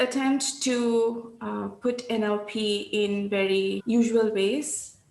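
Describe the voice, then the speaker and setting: Clear background noise and audible room reverberation surround a fairly high female voice. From India, Calcutta (Bengal). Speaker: NLP practitioner and trainer. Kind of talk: interview.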